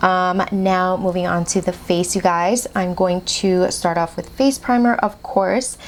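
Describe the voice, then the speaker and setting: Noticeable background noise sits behind this recording. A woman speaks at a medium pitch and a moderate pace. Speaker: beauty vlogger. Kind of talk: makeup tutorial. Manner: animated; slurring.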